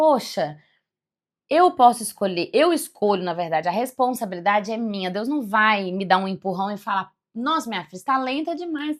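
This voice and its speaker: The recording is very clean, with a silent background. The pitch swings very widely. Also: woman, fairly high pitch for a woman, moderate pace. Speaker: spiritual self-development youtuber, former executive. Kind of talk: reflective monologue. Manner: casual, halting.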